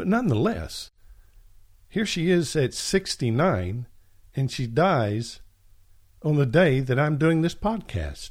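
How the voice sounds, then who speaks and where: Very slow and somewhat breathy, a man speaks at a fairly high pitch with very wide pitch swings and long, frequent pauses, in a very clean recording with a silent background. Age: 60s. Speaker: podcast Bible teacher. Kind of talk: religious teaching monologue.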